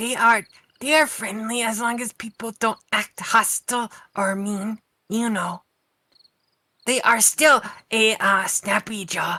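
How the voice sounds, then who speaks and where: Using a put-on character voice, a female-sounding speaker with a fairly high pitch goes at a fairly slow pace, with long, frequent pauses. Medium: actual play. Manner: casual, upbeat.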